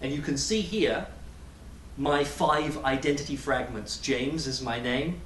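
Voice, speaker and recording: Noticeable background noise and audible room echo surround a man with a fairly high pitch, speaking with an English accent. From England. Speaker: graduate student. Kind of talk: personal talk to a community audience.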